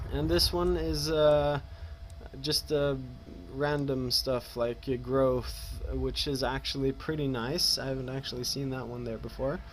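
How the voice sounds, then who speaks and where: This speaker has a Norwegian accent. The delivery is fairly slow. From Norway. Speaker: gaming youtuber. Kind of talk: let's play commentary. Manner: halting, many fillers.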